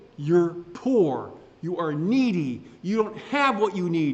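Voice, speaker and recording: Amid noticeable background noise and audible room echo, a man speaks fairly slowly in an animated tone, his pitch swinging very widely. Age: 60s. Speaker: pastor. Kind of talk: sermon.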